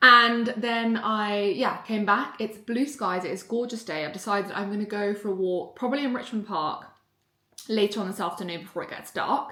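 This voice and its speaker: A woman's fairly high voice in a southern English accent, moderate in pace, with ordinary pitch variation and audible room echo. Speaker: vlogger and mindset coach. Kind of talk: casual vlog. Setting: hotel lobby co-working space. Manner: quiet, speaking softly.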